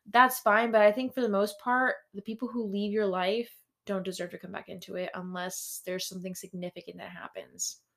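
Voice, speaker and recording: A woman with an ordinary speaking voice at medium pitch, fairly even intonation and a fairly quick pace, with big swings in loudness. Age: 20s. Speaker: podcast co-host. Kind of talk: casual chat. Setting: home room.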